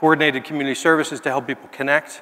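Delivered at a very fast pace over a quiet background, the voice has a bright, sharp tone and fairly even intonation. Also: man. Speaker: keynote speaker, housing and health nonprofit leader. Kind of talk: keynote speech. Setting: stage with audience. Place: hall. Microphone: headset.

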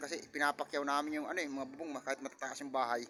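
A man is talking. His pace is very fast. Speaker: vlogger. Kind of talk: casual vlog narration. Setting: outdoors on a rooftop.

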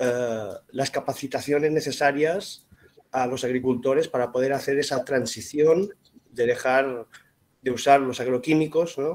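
A man at a fairly high pitch and a fairly slow pace, in an ordinary speaking voice. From Spain (Mallorca). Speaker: audience member. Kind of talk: audience question. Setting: video call.

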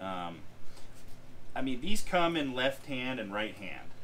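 Noticeable background noise behind a man talking at a fairly slow pace. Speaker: fishing guide explaining gear. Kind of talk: casual tutorial. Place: shop.

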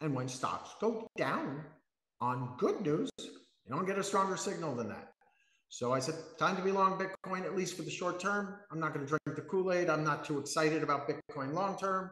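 A high-pitched man's voice with ordinary pitch variation, audible room echo and a quiet background. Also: moderate pace. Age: 50s. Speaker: professional trader. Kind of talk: casual interview. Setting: live video stream. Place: home room. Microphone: video call.

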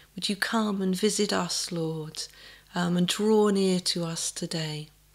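A woman speaks very slowly at a fairly low pitch, with fairly even intonation. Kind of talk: online Sunday talk and prayer. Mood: warm, gentle. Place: home room. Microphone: webcam.

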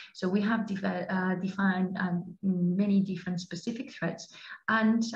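In a Spanish accent, a woman speaks in a somewhat breathy voice, with audible room echo. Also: quiet background. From Spain. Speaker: law enforcement cooperation coordinator; webinar presenter. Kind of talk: presentation. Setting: online webinar. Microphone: headset.

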